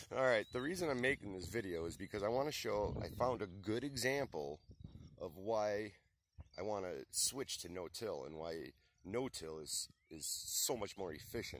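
A man speaks in a plain, everyday voice, fairly low in pitch, at a moderate pace. His intonation is lively, and the sound is dry with no echo. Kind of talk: casual vlog chat. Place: open country. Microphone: phone near.

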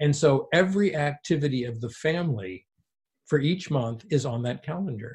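A man with a fairly high, somewhat breathy voice uses lively intonation at a moderate pace. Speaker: pediatrics professor and FASD expert. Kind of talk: interview discussion.

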